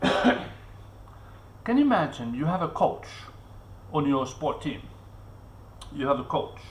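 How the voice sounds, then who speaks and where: A man speaks at a very slow pace with long, frequent pauses, and the recording carries audible room echo and noticeable background noise. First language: not English. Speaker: vlogger. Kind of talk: live stream monologue. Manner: halting, with many fillers and repetitions.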